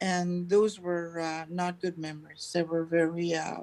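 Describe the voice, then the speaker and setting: A woman's voice, fairly low in pitch. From Manitoba, Canada (Cree First Nation reserve). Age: 70s. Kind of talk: testimony. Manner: halting, many fillers.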